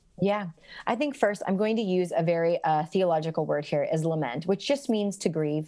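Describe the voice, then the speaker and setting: A woman with a dark, mellow tone speaks with lively intonation and very even loudness on a very clean recording with a silent background. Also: medium pitch for a woman, moderate pace. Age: 30s. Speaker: author. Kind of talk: casual chat.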